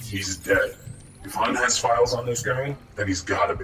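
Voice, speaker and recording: Over clear background noise, a man does a raspy, put-on character voice at a medium pitch and moderate pace. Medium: machinima. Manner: serious, commanding.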